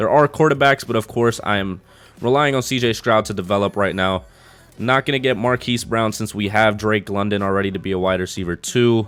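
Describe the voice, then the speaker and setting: A man's fairly low voice moves at a fairly quick pace with ordinary pitch variation. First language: not English. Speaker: gaming YouTuber. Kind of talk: gameplay commentary. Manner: casual, thinking aloud.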